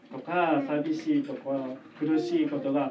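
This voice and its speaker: A gentle tone comes through at a moderate pace over noticeable background noise. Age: 40s. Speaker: children's church teacher. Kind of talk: children's sermon. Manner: gentle, addressing children.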